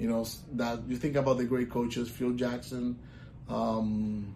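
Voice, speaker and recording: In a Puerto Rican accent, the speaker talks in a flat monotone, with audible room echo. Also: man. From Puerto Rico. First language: Spanish. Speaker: volleyball coach. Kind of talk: casual interview.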